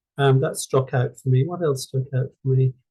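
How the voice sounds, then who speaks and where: In an Irish accent, a man speaks at a fairly high pitch. His voice comes across somewhat breathy. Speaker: journal club presenter. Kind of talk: paper presentation in online discussion group. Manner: halting, with many fillers and repetitions.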